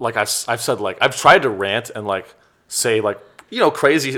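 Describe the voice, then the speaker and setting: Speaking at a fairly quick pace, a man with an American accent uses a medium pitch and a normal speaking voice. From Silicon Valley, California. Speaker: comedian. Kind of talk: casual interview chat.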